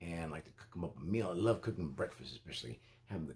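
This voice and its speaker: With lively intonation, a man talks in a somewhat breathy voice. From Costa Rica. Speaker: reviewer and channel owner. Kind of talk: casual vlog monologue. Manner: halting, many fillers and repeats.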